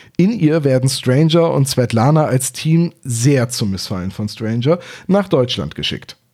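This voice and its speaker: At a fairly slow pace, a man speaks with a dark, mellow tone, a medium pitch and lively intonation. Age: 30s. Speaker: podcast host. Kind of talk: scripted narration.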